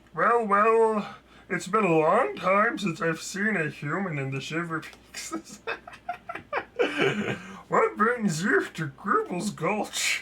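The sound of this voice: A put-on character voice speaks at a middle pitch and a very slow pace. Long pauses come often.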